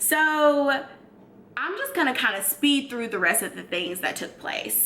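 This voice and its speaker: There is noticeable background noise as a woman talks in an American accent. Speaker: YouTuber. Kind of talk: storytime. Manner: loud; animated.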